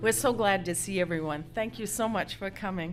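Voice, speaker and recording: Audible room echo surrounds a woman at medium pitch who speaks with a slight Maine accent and ordinary pitch variation. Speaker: folk musician. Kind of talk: stage banter between songs. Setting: stage with audience.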